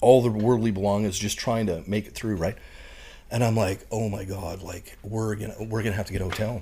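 With a Canadian prairie accent, a man speaks at a fairly quick pace in a fairly low, somewhat breathy voice of dark, mellow tone, his intonation fairly even but his loudness swinging widely. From Canada, Saskatchewan prairies. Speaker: retired Marine bomb disposal technician and professor. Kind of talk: casual interview chat.

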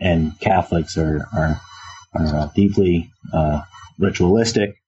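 A man speaks with an American accent at a very slow pace. His very deep, low voice shows ordinary pitch variation. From US, Philadelphia. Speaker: religious studies professor. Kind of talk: interview. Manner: halting, many fillers.

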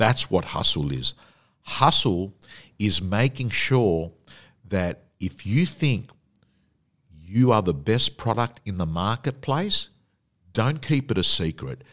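A man with an Australian accent, fairly low-pitched with vocal fry and very wide pitch swings, at a very slow pace with long, frequent pauses. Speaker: personal development coach and real estate auctioneer. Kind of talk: interview.

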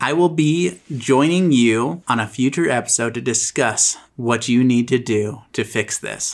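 A man with a normal speaking voice and medium pitch talks at a fairly slow pace with hardly any pauses and ordinary pitch variation, in a very clean recording with a silent background. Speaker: podcast host and editor. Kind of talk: casual chat.

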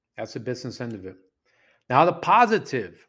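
With an animated tone and some vocal fry, a man talks on a very clean recording with a silent background. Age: 40s. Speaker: dating coach and podcast host. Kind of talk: solo podcast monologue.

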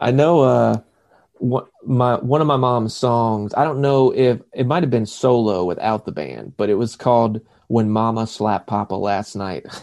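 A man with a Southern US accent talks at a moderate pace and medium pitch. His pitch varies in an ordinary way, and the background is quiet. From South Carolina. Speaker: actor. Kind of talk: casual chat.

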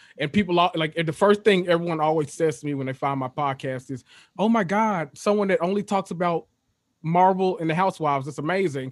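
A man with a Memphis accent speaks in a high voice. His pitch varies in an ordinary way. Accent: Southern US (Memphis). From Memphis, Tennessee. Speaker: guest. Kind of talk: casual chat. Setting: video call.

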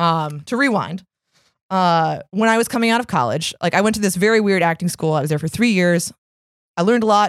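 A woman with a plain, everyday voice at medium pitch and a fairly quick pace, with ordinary pitch variation, on a very clean recording with a silent background. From Arlington, Virginia and Washington DC, US. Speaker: strongwoman athlete and personal trainer. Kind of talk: interview.

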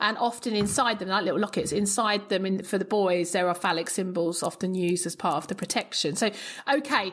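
A woman talks at a very fast pace. Her medium pitch shows ordinary variation. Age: 40s. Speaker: classicist podcast host. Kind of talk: casual interview chat. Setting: video call.

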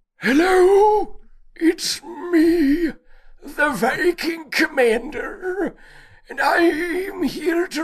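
A put-on character voice, pitched extremely high, moves at a very slow pace.

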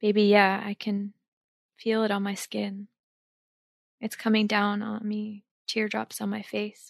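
A monotone, flat delivery in an American accent, with long, frequent pauses and a dry, close sound with no echo. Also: woman, medium pitch for a woman. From northwest New Jersey. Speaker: actress and meditation coach. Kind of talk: casual interview chat.

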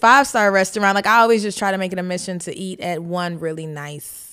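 A woman at medium pitch, very fast pace, and ordinary pitch variation. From moved around as a military child, mostly US Midwest. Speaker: comedian. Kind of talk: casual chat.

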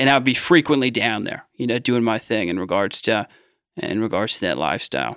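With an American accent and vocal fry, the speaker moves at a fairly quick pace with lively intonation. The recording is very clean, with a silent background. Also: man, medium pitch for a man. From US Midwest, Cincinnati Ohio. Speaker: addiction recovery leader. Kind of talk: interview testimony.

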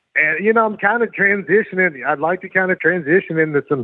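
Someone with a Southern US accent talks at a fairly quick pace with ordinary pitch variation. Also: man. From Louisiana. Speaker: professional wrestler. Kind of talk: interview.

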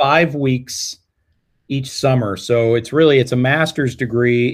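A man with a General American accent and an unremarkable speaking voice talks at a moderate pace in a medium pitch with ordinary pitch variation. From Colorado. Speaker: music education professor. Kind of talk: casual interview.

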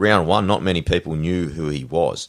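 With an Australian accent, a man talks in a very deep, low voice. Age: 30s. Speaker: podcast host. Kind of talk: casual chat.

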